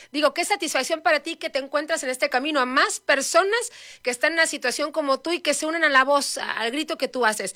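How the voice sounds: A woman talks fast and high-pitched, with a bright, sharp tone and few pauses. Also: ordinary pitch variation.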